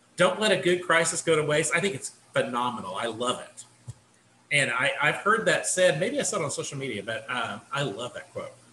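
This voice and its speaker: A man is heard with audible room echo. Light background noise sits underneath. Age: 50s. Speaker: assistant professor, committee chair. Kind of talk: work meeting. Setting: video call. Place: home room. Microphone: video call.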